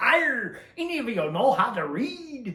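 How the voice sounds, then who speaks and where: Putting on a gruff character voice at an extremely high pitch, a man speaks at a fairly slow pace with very wide pitch swings and an audible echo. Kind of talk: pirate talk. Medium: solo performance. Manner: gruff, pirate dialect.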